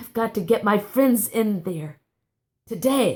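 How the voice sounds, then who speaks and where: In a put-on character voice, a female-sounding speaker talks fairly slowly, raspy and fairly high-pitched for a woman. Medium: read story.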